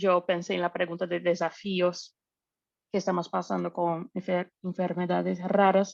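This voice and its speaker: A woman's medium-pitched voice at a very slow pace, with a non-native accent. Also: dry, close sound with no echo. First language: not Spanish (speaking Spanish). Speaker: researcher. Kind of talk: panel discussion.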